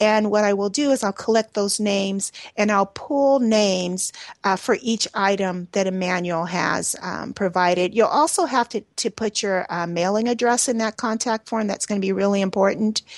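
A woman talks in a normal speaking voice at medium pitch and a moderate pace. Her pitch varies in an ordinary way, and the sound is dry and close with no echo. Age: 50s. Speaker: radio host and energy healer. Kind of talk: radio interview show.

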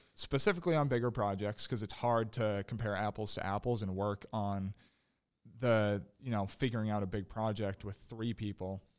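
A man with an unremarkable speaking voice, fairly low pitch and fairly even intonation, at a moderate pace, in a very clean recording with a silent background. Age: 20s. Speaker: landscaping business owner. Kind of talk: interview.

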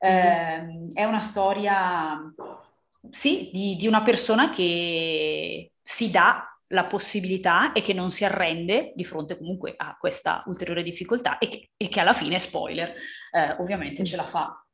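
Medium in pitch with ordinary pitch variation, a woman speaks at a fairly slow pace in a plain, everyday voice. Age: 30s. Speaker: book podcast co-host. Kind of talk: casual chat.

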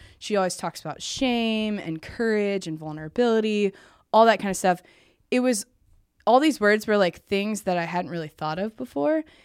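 This woman has an ordinary speaking voice, medium in pitch, with an American accent and a moderate pace, on a very clean recording with a silent background. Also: lively intonation. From US Midwest, small-town Indiana. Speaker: podcast host and interview guest. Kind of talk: personal testimony interview. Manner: casual, filler-heavy.

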